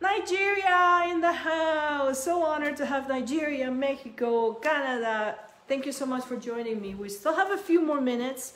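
A woman with a Spanish accent, high-pitched with lively intonation, at a moderate pace with hardly any pauses, amid audible room echo. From Peru. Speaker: cookie decorating instructor. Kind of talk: live tutorial. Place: kitchen. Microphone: phone near.

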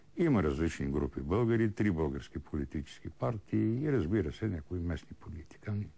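Hardly pausing, a man with vocal fry and a very deep, low pitch speaks at a moderate pace in a dark, mellow tone, his pitch swinging very widely. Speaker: TV history show host. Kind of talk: answering viewer questions. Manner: hesitant with repetitions.

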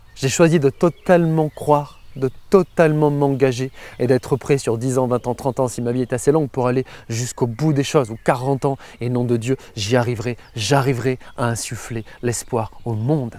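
With a dark, mellow tone, a man speaks at a moderate pace in a dry sound with no echo. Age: 30s. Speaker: motivational YouTuber. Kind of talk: casual motivational monologue. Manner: animated. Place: open country. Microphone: lapel.

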